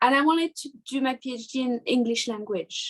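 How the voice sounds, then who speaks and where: With a French accent, a woman talks at a moderate pace. Her voice is high-pitched, with ordinary pitch variation. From southern France, near Marseille. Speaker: artist and art teacher. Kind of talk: interview. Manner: halting.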